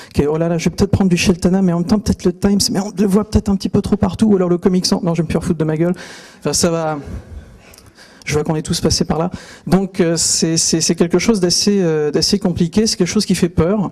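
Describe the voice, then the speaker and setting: A man speaks in a high pitch. His pace is very fast. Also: fairly even intonation. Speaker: typography author and speaker. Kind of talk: conference talk. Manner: hesitant, many fillers.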